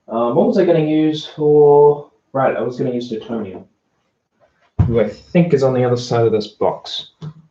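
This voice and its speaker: Speaking at a moderate pace with an Australian accent, a man with a medium-pitched, somewhat breathy voice and a dark, mellow tone uses lively intonation. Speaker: streamer. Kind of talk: casual livestream talk. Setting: livestream. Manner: halting.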